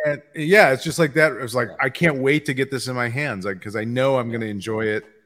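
Using an ordinary speaking voice, a man talks fairly quickly at medium pitch with ordinary pitch variation. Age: 50s. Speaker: comics podcast host. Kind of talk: casual chat.

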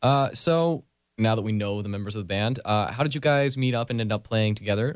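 A man speaks at a very fast pace in an upbeat tone. His pitch varies in an ordinary way, and the background is quiet. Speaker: music show host. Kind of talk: casual interview. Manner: friendly, upbeat.

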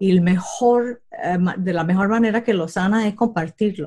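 A woman's somewhat breathy, dark and mellow voice at medium pitch, fairly slow, with fairly even intonation. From Puerto Rico. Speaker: comedian and aerospace engineer. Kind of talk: interview.

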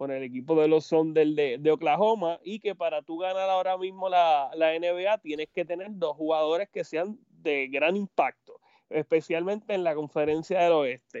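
A man's high voice at a moderate pace, with fairly even intonation. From Puerto Rico. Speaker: sports narrator. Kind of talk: casual sports chat. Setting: Skype call.

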